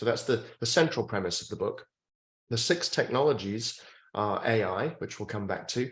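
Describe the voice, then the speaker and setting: A man with a British accent sounds somewhat breathy. His pitch varies in an ordinary way over a quiet background. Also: medium pitch for a man, moderate pace. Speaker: futurist and author. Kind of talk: interview.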